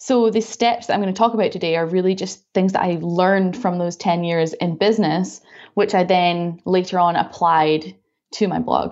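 A woman with a Scottish accent, medium pitch, fairly even intonation and a moderate pace. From Scotland. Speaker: dessert blogger and business coach. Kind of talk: casual interview.

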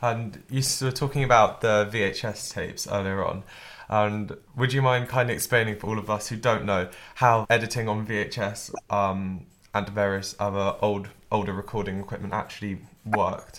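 A normal speaking voice from a man, fairly low in pitch, with fairly even intonation and a moderate pace. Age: young. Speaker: student podcast co-host. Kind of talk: interview; scripted narration.

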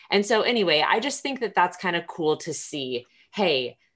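This woman has an ordinary speaking voice with a fairly low pitch. She talks at a moderate pace. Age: 30s. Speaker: podcast host. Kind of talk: casual interview.

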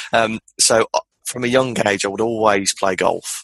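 Dry and close with no echo, a man with a Birmingham accent talks at a moderate pace with fairly even intonation. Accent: Birmingham (Brummie) English. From Birmingham, England. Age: 20s. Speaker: entrepreneur. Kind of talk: casual chat.

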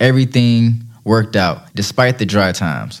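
The voice belongs to a man with medium pitch. It is an unremarkable speaking voice. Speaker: podcast host. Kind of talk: solo podcast monologue. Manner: thankful, friendly.

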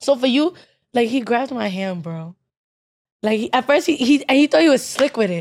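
A woman with a high voice swings her pitch very widely and leaves long, frequent pauses. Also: moderate pace. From Nigerian-American, spent early childhood abroad. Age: 20s. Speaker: podcast co-host. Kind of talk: casual chat.

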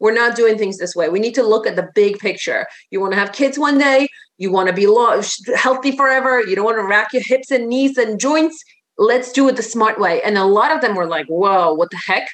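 Speaking with a Polish accent, a woman keeps a fairly quick pace. Her pitch is fairly high and her intonation lively. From Poland. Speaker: fitness and life coach. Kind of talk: casual interview chat.

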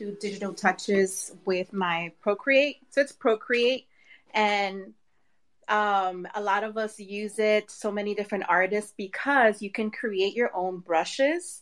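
A woman with a fairly high pitch speaks in an unremarkable speaking voice. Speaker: artist. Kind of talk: casual chat. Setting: live online audio room.

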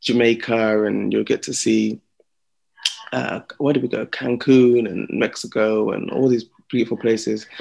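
The speaker is a man. He talks in a London accent. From Slough, England. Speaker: singer-songwriter. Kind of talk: interview.

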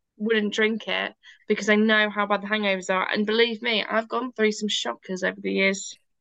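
A woman with a British accent speaks fairly quickly in a bright, sharp tone with monotone, flat intonation. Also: fairly high pitch for a woman. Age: 30s. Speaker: podcast co-host. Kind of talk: casual chat.

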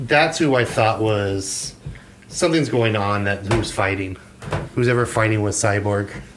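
Over audible room echo, a man speaks fairly slowly at a fairly low pitch with ordinary pitch variation. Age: 40s. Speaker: podcast co-host. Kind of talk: casual chat.

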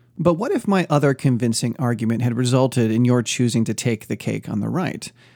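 This man talks at a fairly quick pace. His pitch is medium, with ordinary variation. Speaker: podcast host and ministry teacher. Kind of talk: dramatic narration of a cake parable, sermon-like teaching; devotional podcast teaching. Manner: animated, theatrical, playful and suspenseful; conversational, self-deprecating humor.

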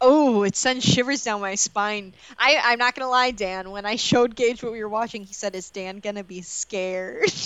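Speaking in a plain, everyday voice, a woman moves at a moderate pace with hardly any pauses, fairly high pitch, ordinary pitch variation and big swings in loudness. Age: 20s. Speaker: movie podcast co-host. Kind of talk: casual chat.

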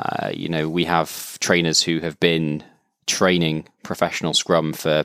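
Very deep and low, a man's voice moves at a fairly slow pace in a very clean recording with a silent background. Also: dry, close sound with no echo. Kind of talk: casual interview conversation. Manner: calm, measured.

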